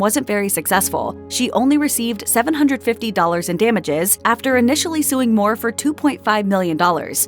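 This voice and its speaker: Music plays in the background. The speaker goes at a fairly quick pace with lively intonation. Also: woman. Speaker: voiceover narrator. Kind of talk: celebrity biography narration.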